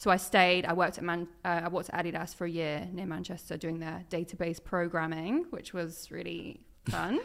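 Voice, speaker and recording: A woman with vocal fry and a fairly low pitch talks at a fairly quick pace with hardly any pauses and fairly even intonation. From East Anglia, Suffolk. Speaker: football presenter and content creator. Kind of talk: casual chat.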